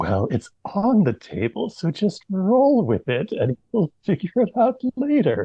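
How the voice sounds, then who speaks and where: Someone whispers in a put-on character voice at a fairly slow pace, with hardly any pauses. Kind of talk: casual, dismissive. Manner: whispering.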